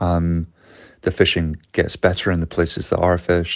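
With a Glasgow accent, a man speaks at a moderate pace in a very deep, low voice. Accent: Scottish (Glasgow). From West Coast of Scotland. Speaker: underwater cameraman. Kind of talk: interview. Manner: hesitant, filler-heavy.

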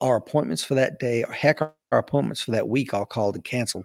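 A man with an East Tennessee accent speaks very fast, in a dry, close sound with no echo. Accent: Southern US (East Tennessee). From East Tennessee (Knoxville). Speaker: Marine veteran and law enforcement trainer. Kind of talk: casual interview.

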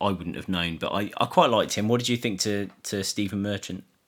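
With an English accent, a man speaks in a fairly low, monotone voice with flat intonation. The recording is very clean, the background silent. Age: 30s. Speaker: film podcast co-host. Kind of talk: casual chat. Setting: at home. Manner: lethargic.

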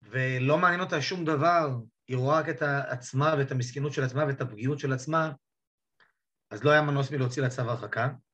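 A man talks at a fairly quick pace in an unremarkable speaking voice. His intonation stays fairly even. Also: fairly high pitch for a man. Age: 50s. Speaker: divorced father telling his coming-out story. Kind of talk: interview testimony.

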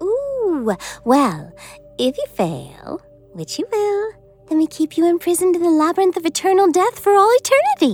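A female-sounding speaker puts on a character voice with an extremely high pitch at a moderate pace. Faint music plays in the background. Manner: bubbly, sadistic.

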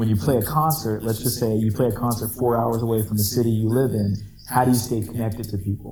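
A man's unremarkable speaking voice, medium in pitch with ordinary pitch variation, at a fairly quick pace. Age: 30s. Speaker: podcast host, former band singer. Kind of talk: casual chat. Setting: remote call.

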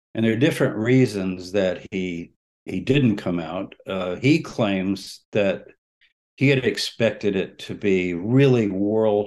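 Against a quiet background, a man with an American accent and a normal speaking voice talks at a fairly slow pace, his fairly low pitch showing ordinary pitch variation. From Texas. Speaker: religious studies scholar. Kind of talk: interview. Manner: conversational, with frequent fillers.

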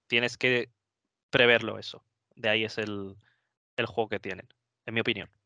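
A man speaks at a moderate pace and medium pitch in a bright, sharp tone with monotone, flat intonation. Long, frequent pauses break his speech, and the sound is dry and close with no echo. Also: quiet background. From Spain, Madrid (Móstoles). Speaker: wargames tournament player. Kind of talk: casual chat.

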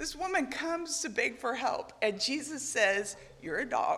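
A woman speaks in a high pitch with a bright, sharp tone, her voice making very wide pitch swings. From Argentina. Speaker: missionary preacher. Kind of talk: sermon. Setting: church.

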